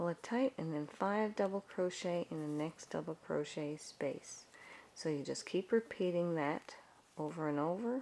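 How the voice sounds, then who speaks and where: Speaking at a fairly slow pace, a woman with a fairly low pitch and a dark, mellow tone uses lively intonation. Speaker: crafter. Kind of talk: crochet tutorial. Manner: soft-spoken, relaxing.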